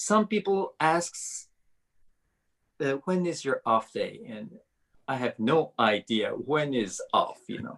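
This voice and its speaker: A man with a Japanese accent speaks at a very slow pace. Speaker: violinist and violin professor. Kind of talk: interview. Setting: video call. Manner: halting, many fillers.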